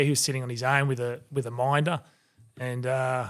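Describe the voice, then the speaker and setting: An Australian accent marks this man's medium-pitched voice at a moderate pace. The recording is very clean, with a silent background. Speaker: former rugby league player. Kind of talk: casual chat.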